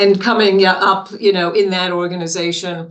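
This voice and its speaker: In a room with audible echo, a woman speaks at medium pitch and a moderate pace. Her intonation is monotone and flat. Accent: New York. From New York City. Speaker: business consultant and author. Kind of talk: interview.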